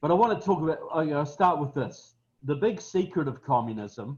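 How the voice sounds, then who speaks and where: Somewhat breathy, a man in a southern New Zealand accent speaks at a fairly slow pace with lively intonation. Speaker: political speaker. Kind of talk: webinar talk. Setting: webinar, online.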